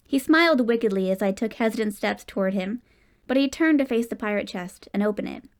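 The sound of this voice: Unforced reading in the voice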